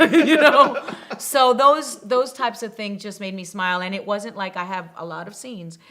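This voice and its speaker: Intonation is lively and the pace moderate, with big swings in loudness. Noticeable background noise runs under the speech. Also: woman, medium pitch for a woman. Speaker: actress. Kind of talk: interview answer.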